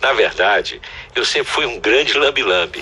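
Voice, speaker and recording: Noticeable noise in the background, with a man going at a moderate pace. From Brazil, Piauí (Northeast). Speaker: photographer. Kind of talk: interview testimony.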